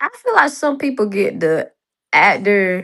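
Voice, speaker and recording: In a North Carolina accent, a woman talks at a very slow pace with lively intonation. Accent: Southern US, North Carolina. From North Carolina, US South. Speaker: series writer and director. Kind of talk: casual chat.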